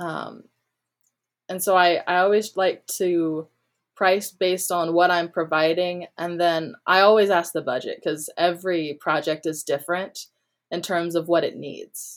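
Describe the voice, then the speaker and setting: A woman has an ordinary speaking voice with a fairly low pitch and fairly even intonation at a fairly slow pace. The recording is very clean, with a silent background. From North Carolina, small town. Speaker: music producer and audio engineer. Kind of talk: interview.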